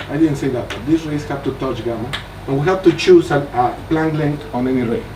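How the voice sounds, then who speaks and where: Over noticeable background noise and audible room echo, a man speaks at a moderate pace in a fairly high pitch with lively intonation. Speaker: mathematician giving a research talk. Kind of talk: lecture.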